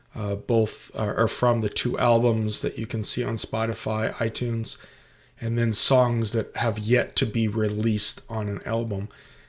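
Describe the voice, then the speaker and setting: Moderately paced, a man talks at a medium pitch. His voice is somewhat breathy and his intonation monotone and flat. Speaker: financial planner and musician. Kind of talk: presentation walkthrough. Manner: hesitant, many fillers.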